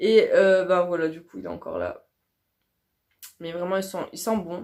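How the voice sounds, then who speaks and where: The intonation of an ordinary speaking voice stays fairly even. Its pace is moderate. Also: woman. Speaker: beauty youtuber. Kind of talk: casual product review vlog.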